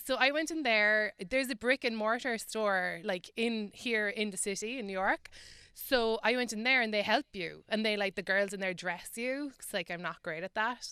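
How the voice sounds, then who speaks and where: Fairly high female voice in an Irish accent, bright and sharp in tone, with ordinary pitch variation and hardly any pauses, in a very clean, silent recording with a dry, close sound and no echo. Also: moderate pace. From Ireland. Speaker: comedian and writer. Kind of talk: radio interview.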